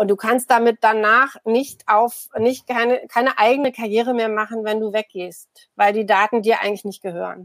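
A woman's fairly high voice, an unremarkable speaking voice, with fairly even intonation and dry, close sound with no echo. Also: moderate pace. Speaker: media anthropologist and political scientist. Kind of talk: casual chat.

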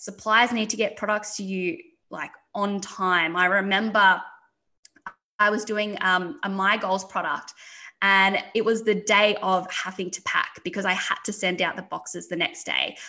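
With an Australian accent, a woman speaks at medium pitch in a bright, sharp tone, at a moderate pace and with ordinary pitch variation. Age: 20s. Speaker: entrepreneur. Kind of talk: interview.

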